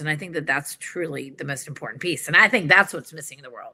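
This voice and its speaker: With a Southern US accent, a woman speaks in a very deep, low pitch, her tone bright and sharp and her pitch varying in an ordinary way. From New York City. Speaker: organizational psychologist and executive coach. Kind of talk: conversational interview.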